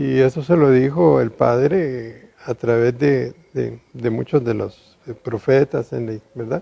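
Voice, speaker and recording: A medium-pitched man speaking very slowly with ordinary pitch variation. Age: 60s. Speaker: engineer and businessman. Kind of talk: testimony.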